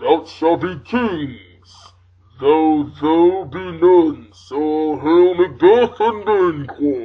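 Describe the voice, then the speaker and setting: At a very slow pace, someone delivers a put-on character voice pitched in the middle range. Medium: stage play.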